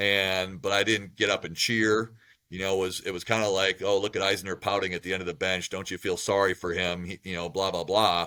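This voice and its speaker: A loud man with an American accent speaks at a fairly quick pace, his very deep, low voice bright and sharp in tone and monotone in intonation. The recording is very clean, with a silent background. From Wisconsin, US Midwest. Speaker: college basketball coach. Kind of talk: interview. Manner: loud, talkative.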